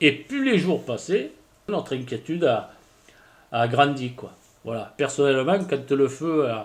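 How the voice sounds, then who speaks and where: A man's fairly high voice at a very slow pace, with long, frequent pauses and ordinary pitch variation. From southwestern France, Landes. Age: 50s. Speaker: villager, fire witness. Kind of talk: interview testimony. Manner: halting, hesitant.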